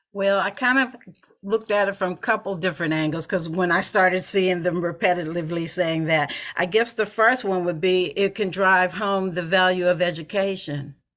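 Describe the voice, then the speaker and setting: This is an ordinary speaking voice, a woman's at medium pitch with ordinary pitch variation. She talks at a moderate pace with an American accent. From Pittsburgh, US. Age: 60s. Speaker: author and anti-poverty advocate. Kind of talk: podcast interview.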